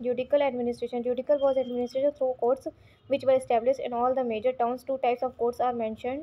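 Very fast and monotone, a woman with a high pitch speaks in an Indian accent with flat intonation. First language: Hindi. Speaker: online history teacher. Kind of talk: reading aloud from textbook in lecture. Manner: halting with repeated words and fillers.

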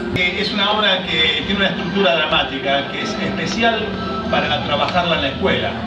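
A man speaks at a moderate pace with ordinary pitch variation. Loud background noise fills the recording. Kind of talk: interview answer. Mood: calm, reflective. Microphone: phone near.

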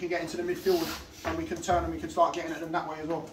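A man with a high pitch races along at a very fast pace over noticeable background noise. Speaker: football manager. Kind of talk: half-time team talk. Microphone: camera far.

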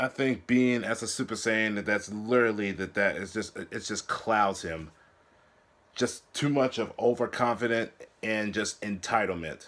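A man with a plain, everyday voice speaks at a moderate pace, his pitch fairly low and his intonation fairly even. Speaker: anime reaction vlogger. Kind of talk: casual commentary. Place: home room. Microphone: earbuds.

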